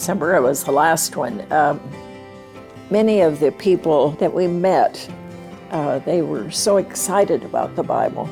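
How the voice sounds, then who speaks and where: A woman's very deep, low voice at a fairly slow pace, with ordinary pitch variation and music in the background. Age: 80s+. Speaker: Bible translation donor. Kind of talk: interview answer.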